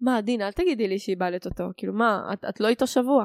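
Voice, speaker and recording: In a very clean recording with a silent background, a woman talks at a fairly quick pace with a fairly high pitch and lively intonation. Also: dry, close sound with no echo. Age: 20s. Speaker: podcast guest, security tech analyst. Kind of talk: casual chat. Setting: home living room.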